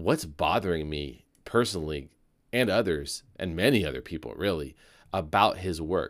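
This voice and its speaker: A man's voice with vocal fry, at a moderate pace. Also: very clean recording, silent background. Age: 40s. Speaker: podcast host. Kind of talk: solo commentary podcast. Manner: halting.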